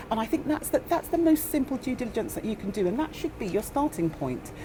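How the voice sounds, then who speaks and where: Noticeable background noise runs under this clip. A woman with a high pitch speaks, her pitch swinging very widely. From northern England. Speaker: property investor panelist. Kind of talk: panel discussion. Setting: seminar room with audience.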